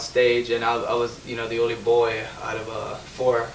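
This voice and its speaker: Over noticeable background noise and audible room echo, a man with an American accent speaks at a moderate pace in a medium pitch, his intonation monotone and flat. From Chicago, US Midwest. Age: 20s. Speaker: young entrepreneur. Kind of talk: interview, personal story. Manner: halting.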